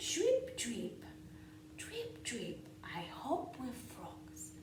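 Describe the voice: A woman's fairly high voice with very wide pitch swings, very slow pace and audible room echo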